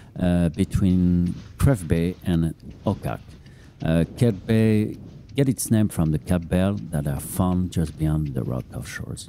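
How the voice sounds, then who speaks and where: A man with a non-native accent speaks at a very slow pace in a very deep, low pitch. His tone is dark and mellow, and his intonation is lively. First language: not English. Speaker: podcast host and runner. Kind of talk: casual running commentary. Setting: outdoors on beach, running. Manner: hesitant, many fillers.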